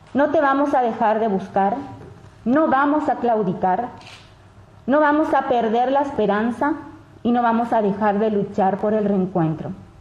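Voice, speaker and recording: A woman's fairly high voice at a fairly slow pace, with ordinary pitch variation, very even loudness, long and frequent pauses, noticeable background noise, and audible room echo. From Paraguay. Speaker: daughter of a kidnapping victim. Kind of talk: public statement. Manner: formal.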